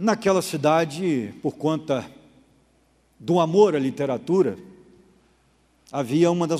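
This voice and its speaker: Very slowly, a man speaks in a fairly high, dark, mellow voice with ordinary pitch variation. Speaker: pastor. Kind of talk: Bible study lecture.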